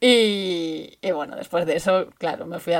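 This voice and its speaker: A woman speaks at a medium pitch and a moderate pace in a plain, everyday voice. The recording is very clean, with a silent background. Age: 30s. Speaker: bicycle traveler. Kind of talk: recorded testimony.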